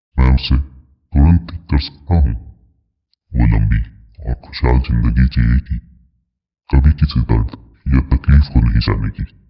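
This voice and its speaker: A man puts on a character voice, very deep and low-pitched with a resonant sound. He talks at a fairly slow pace, with long, frequent pauses. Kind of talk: horror story character. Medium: read story. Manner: smooth, confident, condescending.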